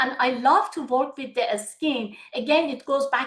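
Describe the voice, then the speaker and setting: A woman with a Persian accent talks at a fairly slow pace in a high pitch. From Iran. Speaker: medical aesthetician. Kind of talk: webinar Q&A. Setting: video webinar.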